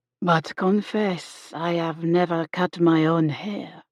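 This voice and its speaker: A woman puts on a character voice with monotone, flat intonation. The sound is dry and close, with no echo. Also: fairly low pitch for a woman, fairly slow pace. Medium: read story. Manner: formal, courteous.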